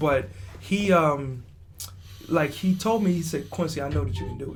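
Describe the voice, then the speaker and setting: A man with an American accent speaks at a fairly high pitch, swinging very widely in pitch. Noticeable background noise and audible room echo fill the recording. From Texas. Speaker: comedian. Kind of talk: casual chat. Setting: on a cruise ship.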